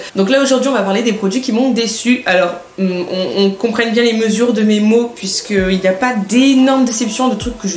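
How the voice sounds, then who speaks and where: Music plays behind a woman whose fairly high pitch shows ordinary variation, with audible echo in the room. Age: 20s. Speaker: beauty YouTuber. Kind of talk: product review vlog. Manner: hesitant, many fillers; casual.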